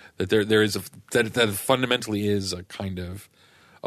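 Against a quiet background, a man with a fairly low pitch and a bright, sharp tone speaks at a fairly quick pace with fairly even intonation. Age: 30s. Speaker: author and political writer. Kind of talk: casual chat.

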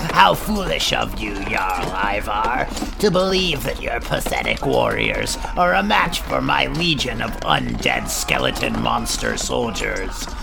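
A man's put-on character voice at a fairly slow pace, over loud music in the background. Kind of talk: comic overacting. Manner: menacing, gloating.

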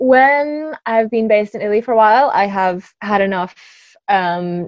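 A woman of medium pitch speaks with an Australian accent, an energetic tone and lively intonation. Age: 20s. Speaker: yacht chef. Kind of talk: casual interview.

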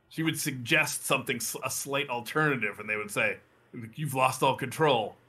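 A man speaks at a fairly high pitch with ordinary variation. His tone is bright and sharp. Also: moderate pace. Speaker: podcast co-host. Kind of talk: casual chat.

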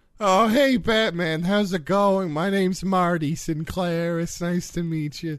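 A put-on character voice moves at a fairly slow pace with hardly any pauses. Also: man, high pitch for a man. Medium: audio drama. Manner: friendly, casual.

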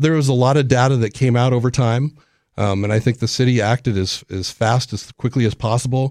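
Fairly even intonation in an American accent, with a dry, close sound and no echo. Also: man, medium pitch for a man. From Los Angeles, California. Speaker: city council candidate and aerospace site director. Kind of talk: radio interview. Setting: radio studio.

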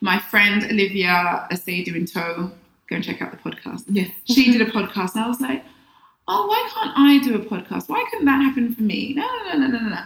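A woman with a London accent speaks at a fairly quick pace and a fairly high pitch. Her voice is somewhat breathy, with lively intonation. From London, England. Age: 40s. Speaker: personal development coach. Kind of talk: casual interview. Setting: in-person studio.

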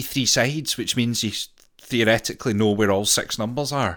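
On a very clean recording with a silent background, a man uses a normal speaking voice at a moderate pace with ordinary pitch variation. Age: 30s. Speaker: video game podcast co-host. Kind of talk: casual chat.

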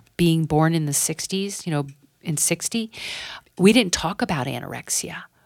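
Speaking at a moderate pace, a woman has an unremarkable speaking voice with a fairly low pitch and ordinary pitch variation. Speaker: psychotherapist and professor. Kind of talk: casual chat.

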